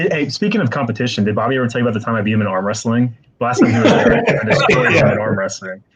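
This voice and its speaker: At a very fast pace, a man talks with ordinary pitch variation. His pitch is medium. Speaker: card break host. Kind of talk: casual chat. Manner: quieter than usual, normally very loud.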